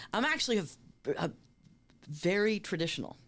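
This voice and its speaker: Recorded very cleanly against a silent background, a woman with an American accent speaks with lively intonation. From US Northeast, Boston. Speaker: talent manager. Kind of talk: interview conversation.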